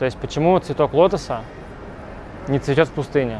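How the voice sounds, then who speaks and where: At a moderate pace, a man with a fairly high voice talks while noticeable background noise carries on. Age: 20s. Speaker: business blogger. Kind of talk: interview.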